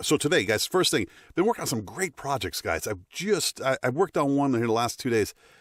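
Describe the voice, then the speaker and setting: This man, with an American accent, swings his pitch very widely. The recording is very clean and dry, close with no echo and a silent background. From United States. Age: middle-aged. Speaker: voice actor. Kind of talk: casual talk to camera. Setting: studio. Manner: upbeat, giggly.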